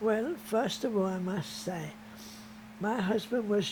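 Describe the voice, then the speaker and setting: A woman speaks at a very slow pace, her pitch medium and its variation ordinary. Noticeable background noise and audible room echo surround her voice. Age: 90s. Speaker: retired netball coach. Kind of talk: interview. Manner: halting.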